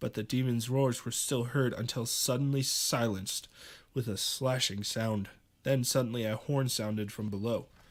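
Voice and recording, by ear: The text is read aloud in a natural voice.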